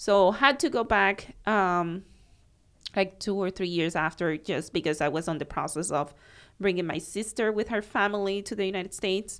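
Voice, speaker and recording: A woman's medium-pitched voice with a Cuban accent. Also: ordinary pitch variation, moderate pace, very clean recording, silent background. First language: Spanish. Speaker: accountant. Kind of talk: casual chat.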